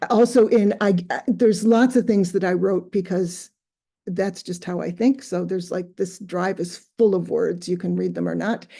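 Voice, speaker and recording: Against a quiet background, a woman with a dark, mellow tone and vocal fry talks at a moderate pace with fairly even intonation. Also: medium pitch for a woman. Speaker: community organizer. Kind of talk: panel introduction on a video call. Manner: hesitant, many fillers.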